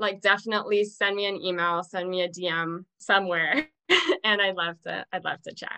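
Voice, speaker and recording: This woman's tone is bright and sharp, at a medium pitch. She keeps a moderate pace with fairly even intonation. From South Africa. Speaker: mom coach and entrepreneur. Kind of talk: podcast interview.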